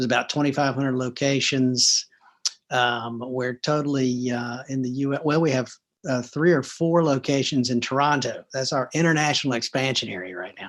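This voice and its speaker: Speaking in a Southern US accent, a man keeps a moderate pace. His intonation is fairly even. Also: medium pitch for a man. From US South, Atlanta, Georgia. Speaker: restaurant chain executive. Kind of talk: interview. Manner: hesitant, many fillers.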